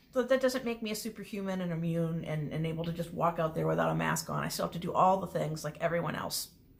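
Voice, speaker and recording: A woman talks at a very fast pace with hardly any pauses and ordinary pitch variation. Noticeable background noise runs underneath. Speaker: small business owner and online creator. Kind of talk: casual self-introduction video. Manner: loud; rambling stream of consciousness.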